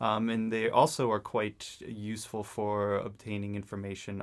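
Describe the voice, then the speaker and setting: At a moderate pace, a man with a fairly low voice speaks with fairly even intonation on a very clean recording with a silent background. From New England, US. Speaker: climate scientist. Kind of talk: interview. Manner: halting, many fillers.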